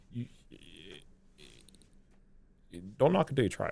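A man speaks in a Southern US accent. His tone is dark and mellow. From US South (South Carolina). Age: 30s. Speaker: beer sales rep. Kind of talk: casual interview chat.

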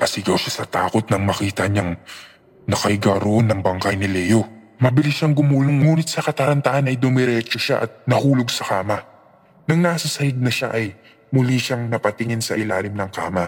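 The voice carries a dramatic tone, moving at a fairly quick pace with ordinary pitch variation. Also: man, medium pitch for a man. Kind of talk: ghost story narration. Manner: tense, dramatic, building suspense.

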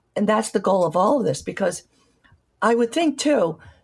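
The pitch swings very widely over vocal fry at a moderate pace. The recording is very clean with a silent background. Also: woman. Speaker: physician radio host. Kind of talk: interview; scripted narration. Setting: radio studio.

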